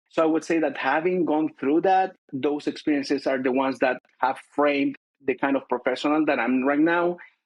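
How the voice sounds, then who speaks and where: A man with a Chilean accent speaks at a moderate pace with hardly any pauses. His pitch is fairly high, his intonation fairly even, and his loudness very even. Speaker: corporate finance director. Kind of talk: interview. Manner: hesitant, many fillers.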